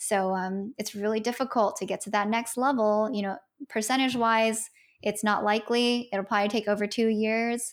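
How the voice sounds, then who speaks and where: A woman with a plain, everyday voice, fairly high in pitch, at a moderate pace with fairly even intonation, on a very clean recording with a silent background. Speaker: product manager and content creator. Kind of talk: casual interview. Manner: casual, filler-heavy.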